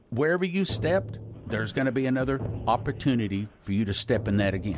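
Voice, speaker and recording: Audible room echo surrounds a man speaking at medium pitch. He talks at a fairly quick pace. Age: 60s. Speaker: preacher. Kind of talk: sermon.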